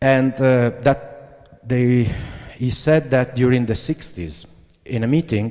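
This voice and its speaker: Speaking with an Italian accent, a man talks at a fairly slow pace and a medium pitch. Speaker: graphic designer, creative director. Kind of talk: lecture. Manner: halting.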